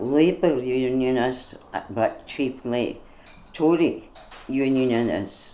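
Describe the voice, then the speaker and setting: Her pitch is very deep and low for a woman, with ordinary variation. The tone is dark and mellow. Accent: Scottish. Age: 80s+. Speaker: political party member. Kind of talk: interview. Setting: on location in Glasgow.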